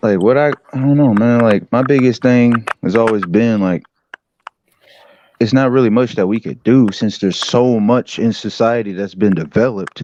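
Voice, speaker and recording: Ordinary pitch variation marks a normal speaking voice that moves at a moderate pace. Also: man, medium pitch for a man. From US Pacific Northwest (Washington state), born in Detroit. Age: 20s. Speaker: livestream guest. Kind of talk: casual chat. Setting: online live stream. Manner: relaxed, filler-heavy.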